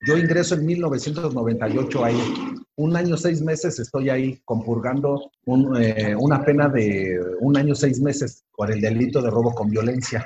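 A man talks at a fairly slow pace with ordinary pitch variation. He has a normal speaking voice. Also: medium pitch for a man. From Mexico City (Iztapalapa). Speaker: nonprofit founder, former prisoner. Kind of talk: interview testimony.

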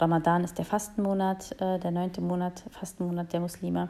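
A woman speaks in a fairly low voice. Her intonation is fairly even and her pace moderate. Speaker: podcaster. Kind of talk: solo monologue. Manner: spontaneous, hesitant with fillers.

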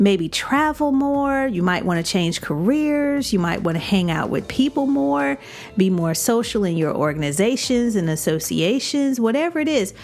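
A woman with an American accent speaks at a moderate pace in an animated tone, her medium pitch swinging very widely with hardly any pauses, over noticeable background noise. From Chicago. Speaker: podcast host and life coach. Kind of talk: casual monologue.

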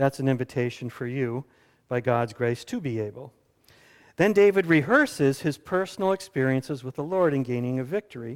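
A man with an American accent and an unremarkable speaking voice, medium pitch, lively intonation and a fairly quick pace, on a very clean recording with a silent background. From US South. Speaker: pastor. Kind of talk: sermon. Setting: church.

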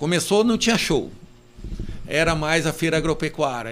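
This man talks at a moderate pace, his fairly high pitch showing ordinary variation. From southern Brazil (Rio Grande do Sul, Carazinho). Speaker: rural union president and farmer. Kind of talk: casual interview chat. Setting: studio, live-streamed podcast. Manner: halting, with many restarts.

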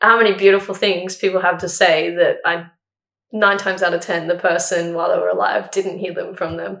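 A woman with an Australian accent speaks at a fairly quick pace and a medium pitch. Her intonation is monotone and flat, with vocal fry. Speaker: university student sharing grief story. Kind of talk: casual interview, personal testimony. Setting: in-person at host's house. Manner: talkative.

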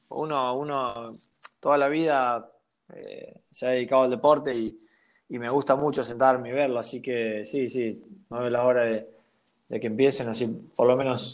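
A man speaks at a moderate pace and medium pitch. He pauses long and often. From Argentina, Santa Fe province. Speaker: professional basketball player. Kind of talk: casual interview. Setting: at home. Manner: halting, many repetitions.

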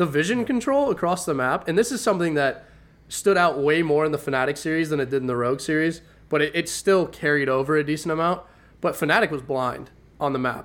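A man with a normal speaking voice, fairly high in pitch with ordinary pitch variation, at a fairly quick pace, on a very clean recording with a silent background. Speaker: esports podcast co-host. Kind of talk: casual banter about esports.

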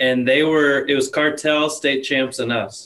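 With an ordinary speaking voice, a man talks at a fairly slow pace. His pitch sits fairly high. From Colorado (moved from Arizona at eight). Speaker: podcast fan and friend of the hosts. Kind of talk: casual chat.

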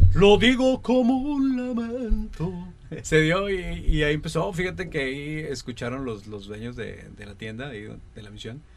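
With audible room echo, a man speaks at a fairly slow pace and a fairly high pitch, making very wide pitch swings and big swings in loudness. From Linares, Nuevo León, Mexico. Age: 40s. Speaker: radio announcer and TV news presenter. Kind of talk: casual interview chat.

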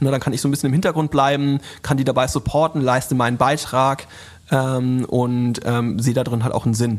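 A normal speaking voice talks at a fairly quick pace with fairly even intonation. The loudness stays very even. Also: man, medium pitch for a man. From rural Germany. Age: 30s. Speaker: influencer marketing agency founder. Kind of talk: interview.

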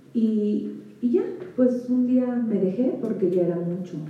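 Amid audible room echo, a woman speaks at a very slow pace. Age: 40s. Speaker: women's ministry speaker. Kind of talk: sermon; testimony. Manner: animated.

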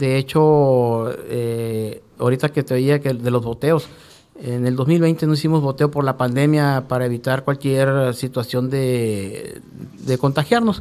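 This man's voice has a dark, mellow tone. He talks at a fairly slow pace. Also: medium pitch for a man, ordinary pitch variation. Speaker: Red Cross rescue coordinator. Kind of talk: radio interview. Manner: halting, with repetitions.

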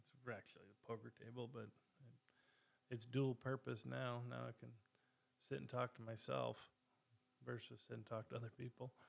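A man at a moderate pace, with big swings in loudness and long, frequent pauses. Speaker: podcast host. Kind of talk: casual solo chat. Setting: home recording at a table. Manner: halting, many fillers.

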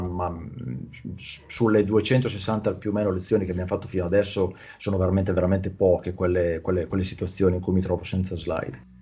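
Fairly low in pitch, a man with a somewhat breathy, dark, mellow tone speaks at a moderate pace. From Italy. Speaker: Italian language YouTuber and teacher. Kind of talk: casual interview chat. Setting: video call.

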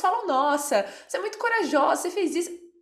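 A woman at a fairly quick pace. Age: 20s. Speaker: podcast host. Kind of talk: casual chat.

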